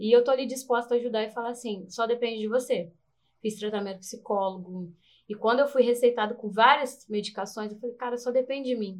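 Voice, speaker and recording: A woman's normal speaking voice, fairly high and fairly quick, with big swings in loudness. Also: fairly even intonation. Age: 30s. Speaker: beauty pageant contestant and dancer. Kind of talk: casual interview chat.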